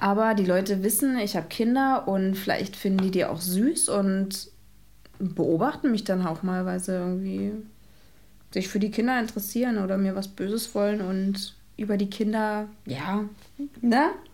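A somewhat breathy woman's voice with ordinary pitch variation, a moderate pace and audible room echo. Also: medium pitch for a woman. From Brandenburg, Cottbus. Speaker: photographer and mother. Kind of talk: casual chat.

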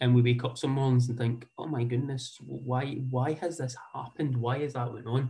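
Somewhat breathy and dark, mellow in tone, a man with a Scottish accent talks at a medium pitch and moderate pace in a monotone, flat intonation with hardly any pauses. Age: 40s. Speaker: football association community development manager. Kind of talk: talk with slides. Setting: video call.

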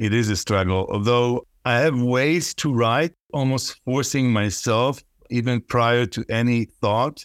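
A man with an Israeli accent talks at a fairly slow pace with hardly any pauses, medium pitch and ordinary pitch variation. The sound is dry and close with no echo, on a very clean recording with a silent background. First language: Hebrew. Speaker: poet and professor. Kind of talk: interview conversation, with poem readings. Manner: reads the Hebrew poem aloud, rhythmic, musical, savoring sounds.

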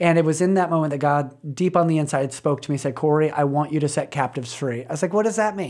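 A man talks in a plain, everyday voice, his pitch fairly high and its variation ordinary. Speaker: nonprofit development director. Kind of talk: interview.

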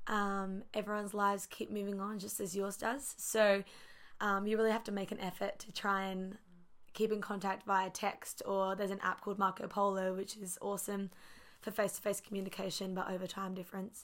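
In a very clean recording with a silent background, a woman with an Australian accent talks fairly quickly at a medium pitch in a flat monotone. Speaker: ministry student. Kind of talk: casual chat.

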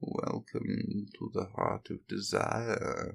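This man uses a put-on character voice and is soft-spoken. He talks at a very slow pace. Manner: insinuating, seductive.

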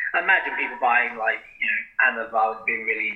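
A man with a British accent at a moderate pace. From Britain. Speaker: podcast co-host, bodybuilder. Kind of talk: casual chat.

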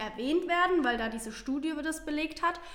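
Fairly quick speech from a woman amid noticeable background noise. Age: 20s. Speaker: social media influencer. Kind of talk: casual chat.

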